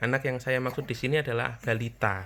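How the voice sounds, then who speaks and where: On a very clean recording with a silent background, a man with a strong Javanese accent talks at a medium pitch. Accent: strong Javanese accent in Indonesian. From Java, Indonesia. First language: Javanese (speaking Indonesian). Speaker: parenting vlogger, father. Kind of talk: casual talk to camera.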